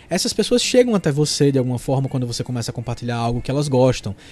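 A man is speaking. Music plays in the background. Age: 30s. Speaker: podcast host, content creator. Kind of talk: solo monologue podcast, tips.

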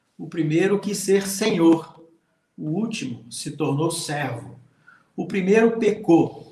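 In a room with audible echo, a man speaks at a high pitch with ordinary pitch variation. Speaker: pastor, Bible teacher. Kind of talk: livestream Bible teaching.

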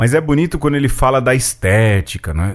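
A man speaks at a moderate pace in an ordinary speaking voice. His pitch varies in an ordinary way over a quiet background. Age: 40s. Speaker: podcast host. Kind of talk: casual chat.

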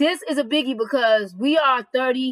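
A woman talks at a moderate pace. Her pitch is high. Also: ordinary pitch variation.

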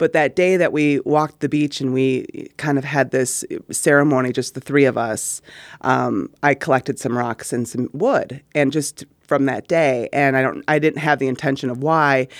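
A woman with a very deep, low voice speaks at a moderate pace with fairly even intonation, in a dry, close recording that is very clean, with a silent background. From Wisconsin, Middleton. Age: 40s. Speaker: performing arts program director. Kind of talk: casual chat. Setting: studio.

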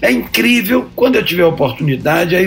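Noticeable background noise sits under a man whose intonation is lively. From Brazil, Bahia. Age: 70s. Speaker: son of a historical political figure. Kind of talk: interview.

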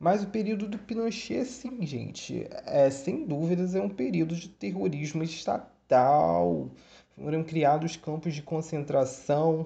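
Very slowly, a man speaks with a dark, mellow tone. His pitch is fairly high and his intonation lively. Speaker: history student podcaster. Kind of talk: educational monologue. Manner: casual, hesitant with fillers.

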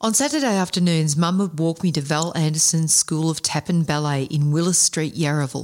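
A woman with a fairly low pitch talks at a fairly quick pace, keeping very even loudness and ordinary pitch variation. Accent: Australian. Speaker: podcast co-host and anthology author. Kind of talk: casual chat; reading aloud. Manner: animated.

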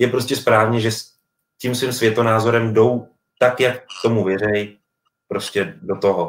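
At a moderate pace, a man talks in a medium pitch. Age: 30s. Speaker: sports journalist. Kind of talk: casual chat.

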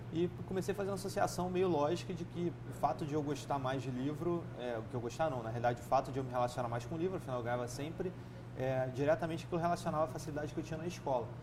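Very fast male speech at a medium pitch, with ordinary pitch variation and hardly any pauses. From Rio de Janeiro state, Brazil (Nova Friburgo). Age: 30s. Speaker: entrepreneur. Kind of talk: interview conversation.

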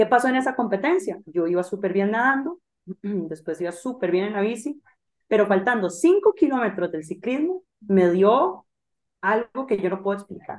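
A woman with a plain, everyday voice, medium in pitch, at a moderate pace. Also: lively intonation. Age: 20s. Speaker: triathlon coach. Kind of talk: interview.

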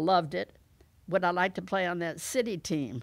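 Heard on a very clean recording with a silent background, a woman speaks at a fairly low pitch with vocal fry. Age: 80s+. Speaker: retired women's athletics coach and administrator. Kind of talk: interview.

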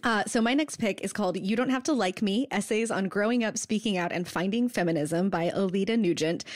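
A plain, everyday voice: a woman at a medium pitch, fairly quick pace, hardly any pauses, very even loudness and ordinary pitch variation. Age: 30s. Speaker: podcast co-host. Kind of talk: casual chat about books. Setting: Skype call.

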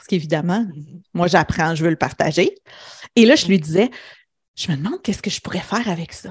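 At a fairly quick pace with long, frequent pauses, a woman speaks in a fairly low, somewhat breathy voice with ordinary pitch variation over a quiet background. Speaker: business coach. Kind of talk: interview conversation. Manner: reflective, with pauses.

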